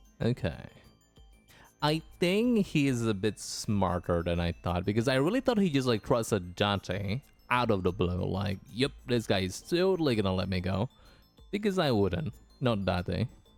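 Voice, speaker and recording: Against music in the background, a man with a fairly low pitch speaks at a moderate pace with lively intonation. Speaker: video game streamer. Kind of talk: live gameplay stream chat.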